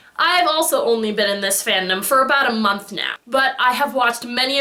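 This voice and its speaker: Over noticeable background noise, a woman with a fairly high pitch speaks in an animated tone at a fairly quick pace. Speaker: fandom vlogger. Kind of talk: casual vlog monologue. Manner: loud.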